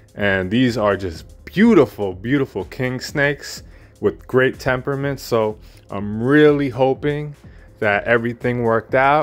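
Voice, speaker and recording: A man talks fairly slowly while faint music sounds in the background. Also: ordinary pitch variation. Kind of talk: casual vlog chat. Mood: pleased, enthusiastic. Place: home room. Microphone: phone near.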